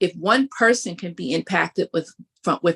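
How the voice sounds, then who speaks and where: Vocal fry runs through a woman's bright, sharp, fairly low voice, delivered at a fairly slow pace with dry, close sound and no echo. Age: 60s. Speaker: higher education professional, event speaker. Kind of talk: interview. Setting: livestream.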